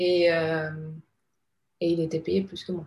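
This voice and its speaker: A woman talks in a fairly low pitch with a dark, mellow tone and a somewhat breathy quality. Her intonation is monotone and flat. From Panama. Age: 30s. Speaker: advertising creative director. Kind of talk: casual interview.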